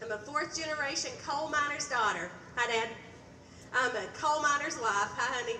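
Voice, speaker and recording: A woman projects a raised voice at a high pitch and a moderate pace. Room echo is audible, and background noise is noticeable. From Eastern Kentucky. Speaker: state legislator, candidate. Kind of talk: stump speech.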